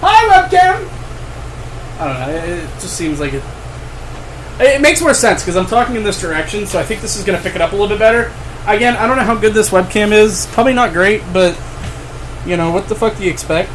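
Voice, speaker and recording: Long, frequent pauses break up speech at a fairly quick pace, with noticeable background noise behind it. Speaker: gaming streamer. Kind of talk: casual live stream chat. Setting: home office live stream. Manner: casual, rambling with fillers.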